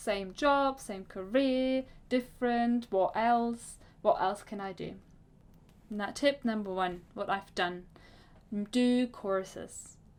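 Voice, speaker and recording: Speaking very slowly with long, frequent pauses, a woman with a German accent and a fairly high pitch shows ordinary pitch variation in a very clean recording with a silent background. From Germany. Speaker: career coach. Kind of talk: vlog talk to camera. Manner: halting, with self-corrections.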